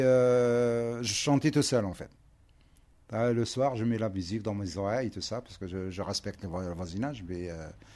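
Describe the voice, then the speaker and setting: A man's dark, mellow tone, with big swings in loudness and ordinary pitch variation. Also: medium pitch for a man, moderate pace. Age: 50s. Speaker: delivery driver, formerly homeless, social housing resident. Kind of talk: interview. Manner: halting.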